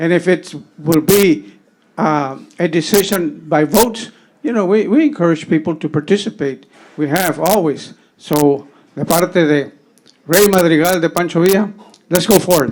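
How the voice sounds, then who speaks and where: A man with an American accent talks at a moderate pace in a high pitch, with ordinary pitch variation. He leaves long, frequent pauses. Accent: Tejano South Texas English. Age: 70s. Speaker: public commenter. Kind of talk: public comment at county meeting. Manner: halting, many repetitions.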